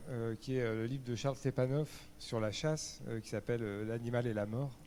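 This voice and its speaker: Fairly even intonation accompanies a dark, mellow tone in this voice. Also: man. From France, south Charente. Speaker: panel speaker. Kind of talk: panel discussion. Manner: halting, many hesitations.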